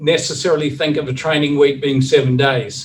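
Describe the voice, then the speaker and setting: A man with a New Zealand accent, a fairly high pitch, a somewhat breathy sound and fairly even intonation. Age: 60s. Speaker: recovery coach. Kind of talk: presentation. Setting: video call.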